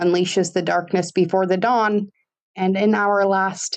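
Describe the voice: Quiet surroundings and plain reading aloud.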